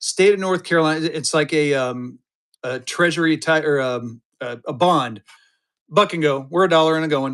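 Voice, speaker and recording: On a very clean recording with a silent background, a man talks at a fairly high pitch with ordinary pitch variation. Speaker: live auction seller of banknotes. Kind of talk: live sales stream. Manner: fast; animated.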